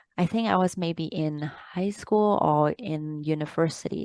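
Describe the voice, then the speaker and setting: The sound is dry and close, with no echo. A woman with a fairly low pitch and ordinary pitch variation talks at a fairly slow pace. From Hong Kong, moved to Canada at 10. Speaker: author and life coach. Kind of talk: interview. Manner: hesitant, many fillers.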